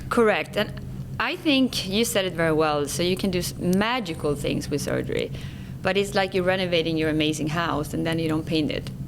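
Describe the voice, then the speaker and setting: Speaking in a Swedish accent, a woman talks at a fairly quick pace, with a fairly low pitch and ordinary variation. Audible room echo and noticeable background noise surround her. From Sweden. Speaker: skincare company executive. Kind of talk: interview.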